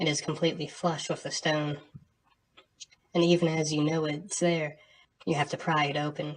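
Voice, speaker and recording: A soft-spoken woman talks in a very deep, low pitch at a moderate pace. Her intonation is monotone and flat. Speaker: game master reading dungeon descriptions. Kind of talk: tabletop dungeon narration to camera.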